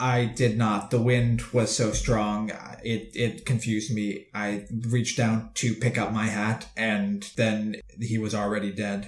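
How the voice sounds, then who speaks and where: At a fairly slow pace, a man does a put-on character voice at a medium pitch. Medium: actual play. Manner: terse, plain.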